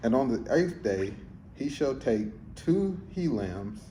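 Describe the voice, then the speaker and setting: A man's dark, mellow, somewhat breathy voice with lively intonation at a very slow pace, audible room echo around it. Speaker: scripture reader. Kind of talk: reading aloud. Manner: halting.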